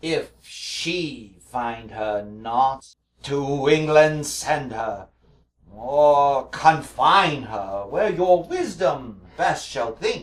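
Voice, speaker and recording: Using a put-on character voice, a man speaks at a very slow pace with a fairly high pitch and lively intonation. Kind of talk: Shakespearean stage verse. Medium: stage play. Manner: hesitant, halting.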